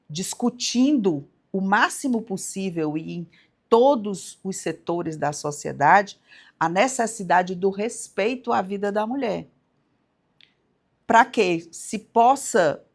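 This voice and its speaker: On a very clean recording with a silent background, a woman talks at a very slow pace. Her medium-pitched voice makes very wide pitch swings. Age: 60s. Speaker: judge. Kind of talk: interview. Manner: halting, many repeated words.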